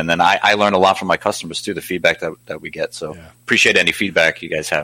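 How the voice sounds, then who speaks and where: A man's very deep, low voice with a bright, sharp tone and an American accent, dry and close with no echo. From New York, Staten Island. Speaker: red light therapy company founder. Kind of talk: interview.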